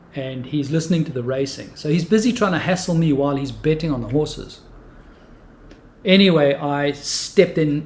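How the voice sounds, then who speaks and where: A man's voice comes across as somewhat breathy. He speaks at a moderate pace. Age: 60s. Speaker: martial arts teacher. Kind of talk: storytelling.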